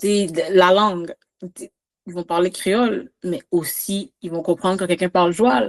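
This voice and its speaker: A woman speaks with a Quebec accent at a moderate pace and medium pitch. The sound is dry and close, with no echo. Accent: Québécois French. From Quebec, Montreal, Haitian family. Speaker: podcast guest. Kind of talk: casual chat. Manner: animated.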